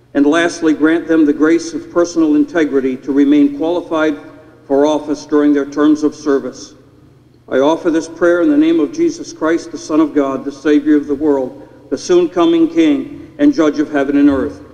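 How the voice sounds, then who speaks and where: The man's intonation stays monotone and flat. His delivery moves at a moderate pace. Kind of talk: public prayer. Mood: solemn, reverent. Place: hall. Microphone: podium.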